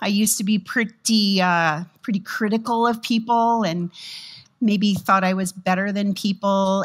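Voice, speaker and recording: A woman talks at a moderate speed, and the background stays quiet. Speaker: pastor. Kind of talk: sermon. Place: church. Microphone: headset.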